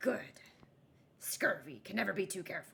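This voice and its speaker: A put-on character voice, gruff and raspy, at a moderate pace. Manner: brusque, inspecting.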